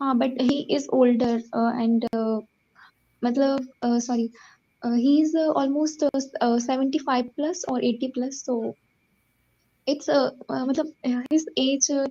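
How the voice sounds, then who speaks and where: A woman with an Indian accent speaks at a fairly slow pace in a high pitch with a dark, mellow tone and fairly even intonation. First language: Hindi. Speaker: caller, tarot reader. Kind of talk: consultation call. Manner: halting, many hesitations.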